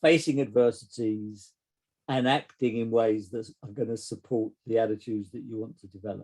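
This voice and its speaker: With an English accent, a medium-pitched man speaks at a moderate pace in a dark, mellow tone and fairly even intonation. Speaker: psychotherapist. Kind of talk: casual chat. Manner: halting.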